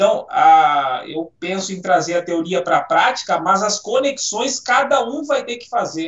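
High-pitched man speaking fairly slowly with lively intonation. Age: 40s. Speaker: physical education professional. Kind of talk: casual chat.

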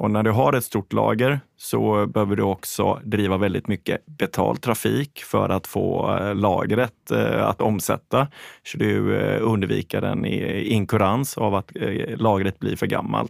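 A man talks at a fairly slow pace. The sound is dry and close with no echo, on a very clean recording with a silent background. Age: 40s. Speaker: fashion company CEO. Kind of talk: interview.

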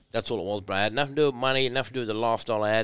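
A man with an Australian accent and ordinary pitch variation, in a very clean recording with a silent background. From rural New South Wales, Australia. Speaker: former rugby league player. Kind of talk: casual interview chat. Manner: animated.

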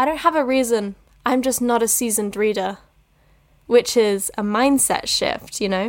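Here is a woman with an ordinary speaking voice, pitched fairly high. She talks at a moderate pace with ordinary pitch variation. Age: 20s. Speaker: drama student and podcast host. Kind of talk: casual monologue.

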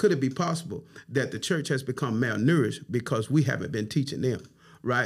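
A fairly high-pitched, somewhat breathy man with an Alabama accent at a fairly quick pace, in a very clean recording with a silent background. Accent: Southern US, Alabama. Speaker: pastor and bishop. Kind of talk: casual chat.

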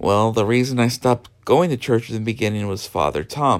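With an American accent, a man speaks at a medium pitch. His pitch variation is ordinary. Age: 30s. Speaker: podcast host. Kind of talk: personal monologue. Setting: home bedroom. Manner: halting, many fillers.

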